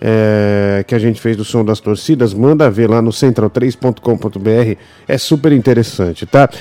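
The man's pace is fairly slow. His tone is dark and mellow. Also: medium pitch for a man, ordinary pitch variation. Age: 30s. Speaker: football podcast host. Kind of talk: casual chat.

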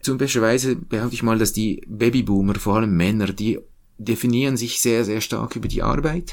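A man talks in a medium pitch at a moderate pace. His pitch variation is ordinary. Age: 40s. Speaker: think tank research head. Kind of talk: interview. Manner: halting.

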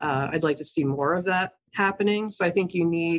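Speaking at a moderate pace with ordinary pitch variation, a woman uses a plain, everyday voice. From New Jersey. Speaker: nonprofit CEO. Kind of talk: interview. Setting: office.

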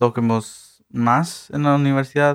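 Speaking at a very slow pace, a man talks with a fairly high pitch. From Texas, Eagle Pass. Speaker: mariachi ensemble director. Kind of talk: radio interview.

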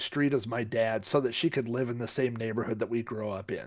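A man talks with ordinary pitch variation. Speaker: podcast co-host. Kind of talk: casual chat.

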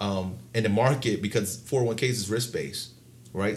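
A somewhat breathy man with an American accent, fairly low in pitch, at a moderate pace with ordinary pitch variation. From Baltimore, Maryland. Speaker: financial consultant. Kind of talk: interview.

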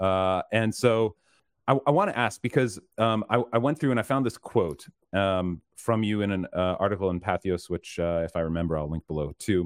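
Speaking at a moderate pace, the man uses a plain, everyday voice that is fairly low, and his pitch varies in an ordinary way. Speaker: podcast host. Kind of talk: interview.

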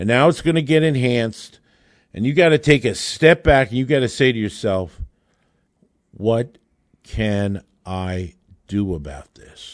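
A man's medium-pitched voice at a fairly slow pace, with long, frequent pauses, very wide pitch swings and big swings in loudness against a quiet background. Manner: urgent, emphatic, indignant, warning tone.

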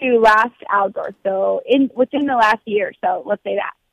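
A woman's plain, everyday voice, fairly high in pitch, at a moderate pace with ordinary pitch variation. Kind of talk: casual chat.

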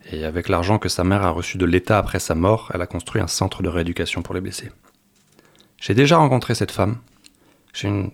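A man's very deep, low-pitched voice at a fairly quick pace. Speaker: French teacher volunteer. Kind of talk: radio interview. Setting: studio. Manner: halting.

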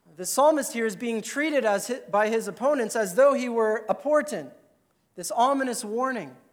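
Extremely high-pitched man at a moderate pace, ordinary pitch variation, with audible room echo. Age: 30s. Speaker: pastor. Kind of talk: sermon.

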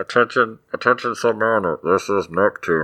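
This man uses a put-on character voice. It sits at a medium pitch. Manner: announcing, dramatic.

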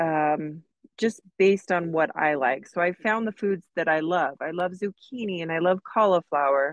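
With a normal speaking voice, a woman talks at a fairly low pitch with ordinary pitch variation and a dry, close sound with no echo. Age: 40s. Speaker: massage therapist, interview guest. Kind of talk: interview.

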